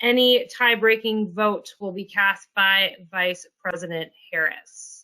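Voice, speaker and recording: This woman's voice is loud, fairly high-pitched and bright and sharp in tone, with fairly even intonation. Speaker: policy executive of a federal employees association. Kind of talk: online presentation. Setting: video conference.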